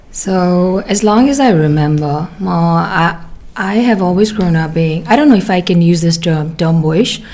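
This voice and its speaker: Recorded with audible room echo, a woman speaks in a fairly low pitch with ordinary pitch variation. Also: fairly slow pace. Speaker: doctor. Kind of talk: casual chat.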